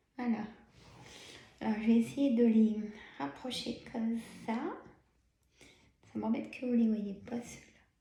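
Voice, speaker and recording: A woman's fairly high voice at a fairly slow pace, with long, frequent pauses, ordinary pitch variation and audible room echo. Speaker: tarot card reader. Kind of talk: tarot reading. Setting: filmed video with camera. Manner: many pauses.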